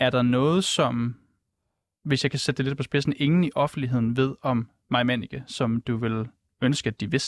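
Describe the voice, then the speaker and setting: With an unremarkable speaking voice, a man of medium pitch talks at a moderate pace with fairly even intonation in a very clean recording with a silent background and a dry, close sound with no echo. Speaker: radio journalist. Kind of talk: interview. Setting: studio.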